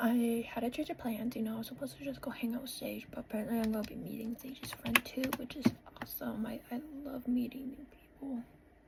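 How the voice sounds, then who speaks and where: Over noticeable background noise, a woman talks very fast at a high pitch in a monotone, flat way, with big swings in loudness. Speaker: vlogger. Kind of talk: casual vlog talk; voice-over narration.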